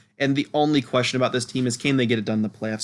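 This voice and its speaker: This man's voice sits at a medium pitch. The intonation remains fairly even throughout. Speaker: sports YouTuber. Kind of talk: solo commentary video. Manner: fast.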